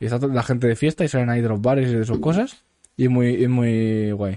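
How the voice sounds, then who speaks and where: A man's dark, mellow voice at a medium pitch and very fast pace, over a quiet background. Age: 20s. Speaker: podcast host. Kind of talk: casual chat.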